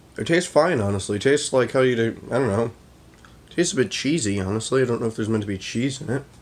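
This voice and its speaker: Talking at a very fast pace, a man shows ordinary pitch variation. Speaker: amateur video creator. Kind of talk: casual vlog chat. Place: kitchen. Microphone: phone near.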